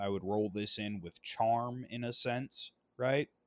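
An ordinary speaking voice belongs to a man who talks at a moderate pace with ordinary pitch variation. The recording is very clean, dry and close, with a silent background and no echo. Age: 20s. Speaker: gaming podcast host. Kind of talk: solo casual commentary.

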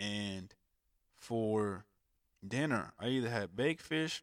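The pitch varies in an ordinary way. The voice belongs to a man. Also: dry, close sound with no echo, very clean recording, silent background. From Alabama. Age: 20s. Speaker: podcast host. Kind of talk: solo podcast monologue. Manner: casual, conversational.

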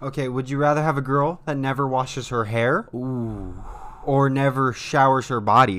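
An animated man speaks at a moderate pace with ordinary pitch variation, noticeable background noise behind him. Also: medium pitch for a man. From US, not the South. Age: 20s. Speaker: podcast co-host. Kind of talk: casual chat.

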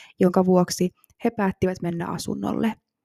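Dry and close with no echo, a woman's dark, mellow tone sits at a medium pitch with monotone, flat intonation. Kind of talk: true-crime narration. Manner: calm, measured, factual storytelling; formal, even and serious.

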